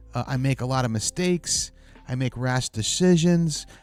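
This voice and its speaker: Over background music, a man with an American accent and medium pitch speaks at a fairly slow pace with ordinary pitch variation. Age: 60s. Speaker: vlogger. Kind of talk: personal monologue. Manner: halting.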